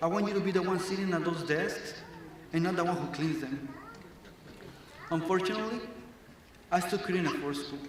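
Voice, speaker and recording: Amid audible room echo and noticeable background noise, a man with a Mexican accent speaks at a fairly quick pace in a high voice with fairly even intonation and long, frequent pauses. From Mexico, moved to Arizona at ten. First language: Spanish. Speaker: graduating student speaker. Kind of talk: graduation speech. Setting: stage with audience.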